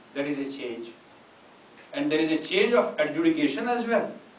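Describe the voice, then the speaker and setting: A man speaking amid light background noise, with audible room echo. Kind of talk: lecture. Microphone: podium.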